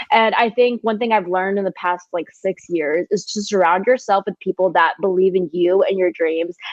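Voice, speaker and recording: Speaking at a moderate pace with hardly any pauses, a woman keeps a medium pitch and ordinary pitch variation. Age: 20s. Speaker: entrepreneur and designer. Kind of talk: casual chat. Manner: animated.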